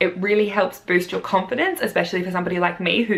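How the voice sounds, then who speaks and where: Talking at a very fast pace, a woman speaks with an Australian accent. Noticeable background noise runs through the clip. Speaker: primary school teacher. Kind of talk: vlog, casual talk to camera.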